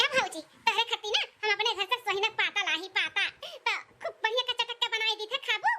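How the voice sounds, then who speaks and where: A woman does a cartoonish character voice, squeaky and at an extremely high pitch, moving at a fairly quick pace. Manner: chatty, playful teasing.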